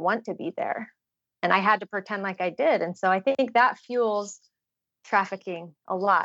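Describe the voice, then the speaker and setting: A woman with an American accent and a normal speaking voice speaks at a moderate pace with a fairly high pitch and ordinary pitch variation, the sound dry and close with no echo over a quiet background. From Utah. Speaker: trafficking survivor and advocate. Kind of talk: interview testimony.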